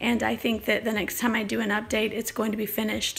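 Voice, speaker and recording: A woman talks very quickly at a fairly high pitch while noticeable noise fills the background. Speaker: artist. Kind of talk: casual live stream talk.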